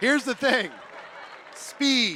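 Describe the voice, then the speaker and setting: A man speaks in a raised, projected voice with a bright, sharp, animated tone. Crowd noise fills the background. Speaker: network marketing speaker. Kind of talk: motivational talk.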